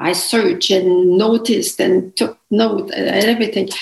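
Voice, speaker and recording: A woman speaks with vocal fry at a fairly slow pace, her intonation fairly even. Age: 80s. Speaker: author and teacher. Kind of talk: casual interview.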